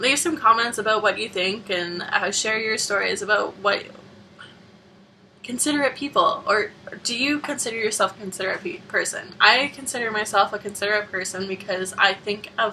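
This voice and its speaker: With a Canadian accent, a woman speaks in a fairly high voice with ordinary pitch variation at a moderate pace, leaving long, frequent pauses over noticeable background noise. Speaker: vlogger. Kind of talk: casual vlog monologue.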